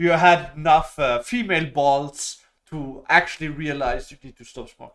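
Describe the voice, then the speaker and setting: Someone with a non-native accent talks at a moderate pace with ordinary pitch variation and big swings in loudness. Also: man, fairly high pitch for a man. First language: not English. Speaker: YouTuber. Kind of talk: casual monologue. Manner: halting, many fillers.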